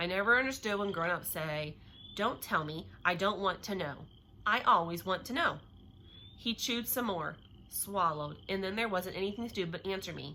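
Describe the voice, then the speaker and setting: A woman talks at a medium pitch. Her pitch varies in an ordinary way. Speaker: teacher reading a novel to children. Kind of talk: reading aloud. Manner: fast; loud.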